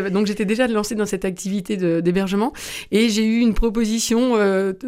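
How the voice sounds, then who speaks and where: A woman speaks over noticeable background noise. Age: 50s. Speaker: festival co-founder and tourism entrepreneur. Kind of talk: radio interview.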